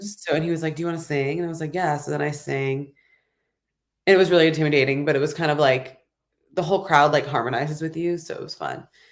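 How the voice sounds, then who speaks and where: A woman with an American accent speaks at a very fast pace. Her pitch is very deep and low, with fairly even intonation. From Los Angeles. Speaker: singer-songwriter. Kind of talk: interview answer. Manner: casual, chatty.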